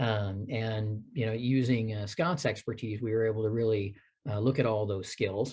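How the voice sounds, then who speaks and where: Against a quiet background, a man speaks with a dark, mellow tone that is somewhat breathy. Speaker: orientation and mobility instructor. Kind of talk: conference presentation. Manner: fast.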